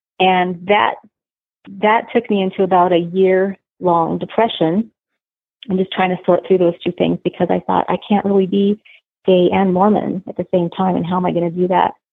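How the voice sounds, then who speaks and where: A woman's medium-pitched voice at a moderate pace, with monotone, flat intonation. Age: 40s. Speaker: church member sharing her story. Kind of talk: testimony.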